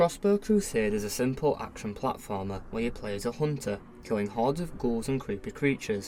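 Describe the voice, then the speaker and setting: The speaker has a northern English accent. The pace is fairly quick. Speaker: video game reviewer. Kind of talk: scripted review narration.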